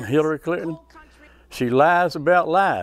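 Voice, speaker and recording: This man speaks with an Appalachian accent. His pitch is fairly high. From West Virginia. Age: 70s. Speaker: war veteran. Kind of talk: interview.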